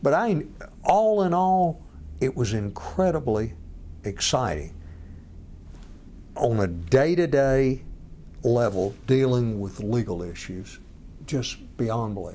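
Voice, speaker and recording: With a Georgia accent, the speaker talks at a very slow pace in a dark, mellow tone, swinging very widely in pitch and leaving long, frequent pauses. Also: man, medium pitch for a man. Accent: Georgia Southern US. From Georgia, US South (near Commerce). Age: 60s. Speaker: lawyer and former state attorney general. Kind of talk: interview.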